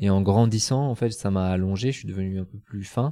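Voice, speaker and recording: A man talks at a moderate pace with a fairly low pitch, a dark, mellow tone and ordinary pitch variation. The recording is very clean, with a silent background. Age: 30s. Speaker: kickboxing champion. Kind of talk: casual chat. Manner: halting, many repetitions.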